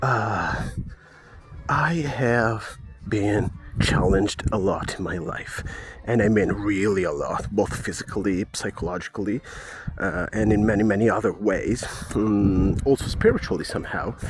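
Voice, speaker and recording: A man's fairly low voice at a fairly slow pace, with ordinary pitch variation and noticeable background noise. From Italy. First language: Italian. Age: 30s. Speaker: podcast host, holistic wellness coach. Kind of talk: personal testimony podcast. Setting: walking outdoors. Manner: halting, with many fillers.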